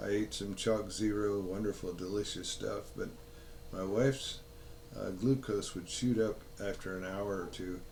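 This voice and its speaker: Heard with audible room echo, a man speaks at a moderate pace and a fairly low pitch with fairly even intonation. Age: 80s. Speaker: health vlogger. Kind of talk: casual monologue. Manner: halting.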